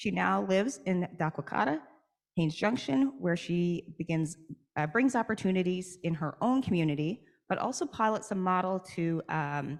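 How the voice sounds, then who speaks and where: Against a quiet background, a woman with a Newfoundland accent speaks with lively intonation at a fairly low pitch. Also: moderate pace. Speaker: session moderator. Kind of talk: event moderation, introducing speakers. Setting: stage at a conference, with microphones.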